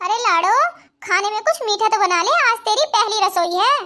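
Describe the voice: In a cartoonish character voice, a woman sounds squeaky at an extremely high pitch, keeping a moderate pace and very even loudness.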